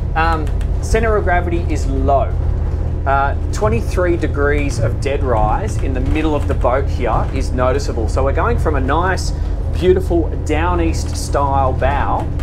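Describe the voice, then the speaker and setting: Background music under a man's moderately paced speech. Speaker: boat reviewer. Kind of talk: sea trial commentary. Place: boat.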